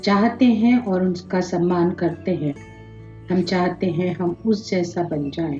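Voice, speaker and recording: A woman's voice with ordinary pitch variation and music in the background. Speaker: meditation guide. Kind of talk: guided meditation. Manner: slow, calm, soothing.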